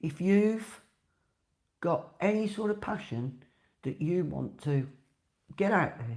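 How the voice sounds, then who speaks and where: A woman with a Birmingham accent, very slow pace, long and frequent pauses, and very wide pitch swings. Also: fairly low pitch for a woman. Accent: Brummie. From Birmingham, England. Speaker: podcaster and dog wheelchair advocate. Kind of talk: casual monologue podcast. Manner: chatty, conversational.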